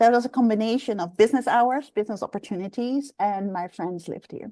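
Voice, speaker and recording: A woman with a slight Dutch accent, fairly high-pitched and very fast, with ordinary pitch variation and big swings in loudness, in a dry, close recording with no echo and a quiet background. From Netherlands. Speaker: executive coach. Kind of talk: interview.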